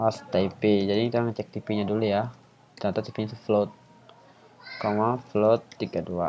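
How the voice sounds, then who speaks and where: With monotone, flat intonation and long, frequent pauses, a man speaks in a fairly low pitch. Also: moderate pace. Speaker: YouTuber and student teaching coding. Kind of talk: tutorial. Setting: home recording. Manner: casual; soft-spoken. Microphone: quiet voice level.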